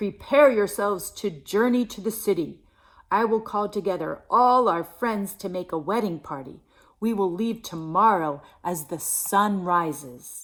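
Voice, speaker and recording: A put-on character voice, female-sounding, at a middle pitch and moderate pace, in a very clean recording with a silent background. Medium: read story.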